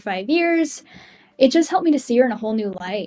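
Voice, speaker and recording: A woman talks with an American accent. Music plays in the background. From Massachusetts, New England. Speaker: music journalist. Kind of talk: podcast interview. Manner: rambling, many fillers.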